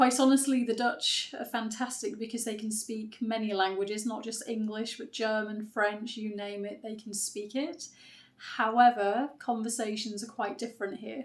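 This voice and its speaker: In a British accent, a woman with a fairly high pitch speaks at a moderate pace, somewhat breathy and monotone, her loudness swinging widely. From UK. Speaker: writer and content creator. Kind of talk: unscripted vlog monologue. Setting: unedited one-take video.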